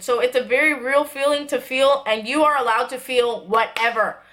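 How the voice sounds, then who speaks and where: A woman raises and projects her voice at a fairly quick pace. Her pitch is high, with ordinary variation. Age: 20s. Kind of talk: casual talk to camera. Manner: serious, earnest.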